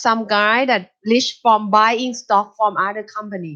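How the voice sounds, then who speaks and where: A woman with a Thai accent speaks at a fairly high pitch. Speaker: university lecturer. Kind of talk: lecture.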